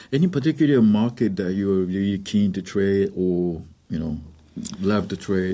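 On a very clean recording with a silent background, a man with a fairly low pitch and a dark, mellow tone speaks at a fairly slow pace with ordinary pitch variation. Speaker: interpreter and trading educator. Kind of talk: consecutive interpretation in radio interview.

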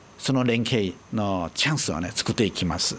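A man talks with lively intonation at a moderate pace in an ordinary speaking voice. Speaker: trade office director. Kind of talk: interview.

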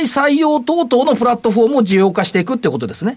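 A man's extremely high-pitched, animated voice, with lively intonation at a fairly quick pace. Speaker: radio host and stock market commentator. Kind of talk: casual market commentary chat. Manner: fast, animated talker.

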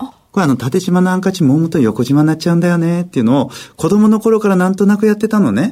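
A man talks at a very fast clip with hardly any pauses, his pitch high and his intonation lively. His tone is dark and mellow, and his loudness stays very even. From Japan, Miyagi (Kesennuma). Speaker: magician. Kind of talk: radio interview.

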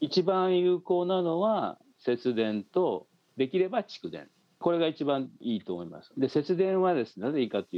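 A man with a fairly high pitch speaks at a moderate pace, his voice making very wide pitch swings. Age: 70s. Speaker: professor, former nuclear policy official. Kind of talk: remote interview. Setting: remote call.

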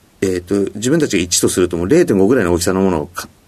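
A man's fairly low, dark, mellow voice. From Hokkaido, Sapporo. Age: 50s. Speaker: company president. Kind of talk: interview. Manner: frequent filler words.

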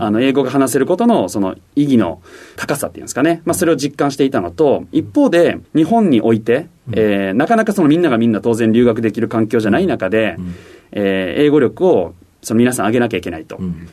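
Fairly quick and with lively intonation, a man at medium pitch speaks in a dark, mellow tone. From Osaka, Japan. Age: 30s. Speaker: company CEO. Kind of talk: interview.

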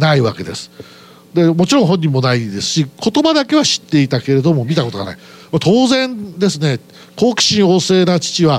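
Big swings in loudness and very wide pitch swings at a moderate pace, over noticeable background noise. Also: man, high pitch for a man. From Aichi, Japan. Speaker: company president. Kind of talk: investor presentation. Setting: stage with audience. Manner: formal.

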